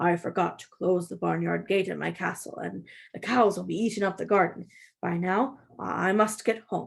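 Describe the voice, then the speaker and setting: A woman's raspy, put-on character voice at a medium pitch and moderate pace, on a very clean recording with a silent background. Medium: read story. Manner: flustered.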